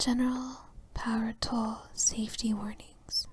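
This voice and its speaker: The voice is soft-spoken and whispering. It moves at a very slow pace. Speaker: ASMR reader. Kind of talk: whisper ASMR reading of an instruction manual for sleep. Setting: relaxation and sleep audio. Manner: whispered, soft-spoken.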